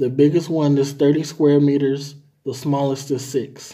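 A man's fairly high pitch, dark, mellow tone, monotone, flat intonation and very slow pace over a quiet background. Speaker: language tutor. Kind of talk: reading aloud. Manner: formal. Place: home room. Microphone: phone near.

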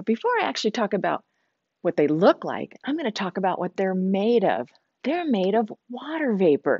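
The sound is dry, with no echo, and the background is quiet. A woman is speaking. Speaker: nature center educator. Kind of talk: children's educational talk. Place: classroom.

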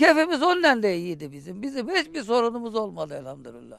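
At a fairly quick pace, the voice moves through very wide pitch swings, with a quiet background and a dry sound with no echo. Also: man. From Hatay, southern Turkey. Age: 60s. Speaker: villager; interviewee. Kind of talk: casual chat. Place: garden. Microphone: handheld.

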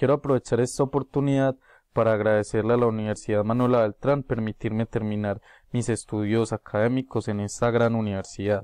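A man speaks at a fairly quick pace in a dark, mellow tone, with monotone, flat intonation and very even loudness. The sound is dry with no echo against a quiet background. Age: 20s. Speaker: university student. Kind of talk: prepared class presentation. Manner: formal. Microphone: webcam.

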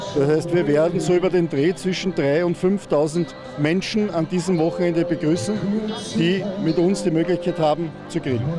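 Over clear background music, a man talks at a fairly slow pace. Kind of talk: interview answer. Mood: pleased, promotional. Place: open country. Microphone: handheld.

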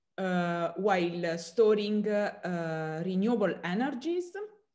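A woman of medium pitch in an Italian accent, at a very slow pace with ordinary pitch variation, against a quiet background. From southern Italy. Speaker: chemistry professor. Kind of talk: interview. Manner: halting, many fillers. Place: home room. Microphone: webcam.

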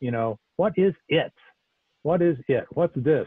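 Against a quiet background and with a dry sound free of echo, a man with an American accent talks at a fairly slow pace with lively intonation. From US Pacific Northwest, Portland Oregon. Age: 60s. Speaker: Zen teacher. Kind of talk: dharma talk. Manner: halting. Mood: calm, earnest, searching. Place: home room. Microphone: earbuds.

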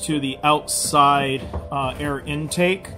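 A man talks while music plays clearly in the background. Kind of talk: tutorial. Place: bus. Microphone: phone near.

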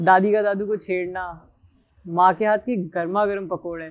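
A man's high-pitched, monotone voice with flat intonation and a very slow pace over a quiet background. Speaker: actor in a short film. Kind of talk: emotional storytelling monologue.

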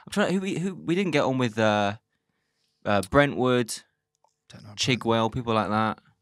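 With a London accent, a man speaks at a moderate pace, leaving long, frequent pauses. His pitch swings very widely and his loudness shifts a lot, in a dry sound with no echo over a quiet background. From London, Islington. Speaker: comedian. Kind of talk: casual chat. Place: studio. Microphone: studio mic.

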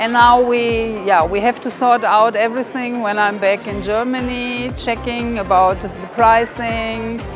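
A woman talks at a fairly slow rate while clear music plays behind her. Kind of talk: interview answer. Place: hall.

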